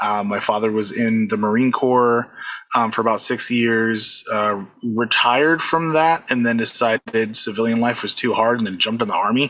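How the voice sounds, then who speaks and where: A man speaks at a moderate pace with fairly even intonation. Noticeable background noise runs under the recording. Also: medium pitch for a man. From US, Puerto Rican family. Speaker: convention DJ and music producer. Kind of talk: casual interview.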